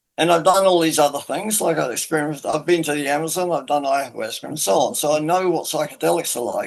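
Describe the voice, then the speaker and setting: Background noise is noticeable as a man talks at a very fast pace with hardly any pauses. His pitch varies in an ordinary way. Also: fairly high pitch for a man. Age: 70s. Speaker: independent theorist. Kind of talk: interview.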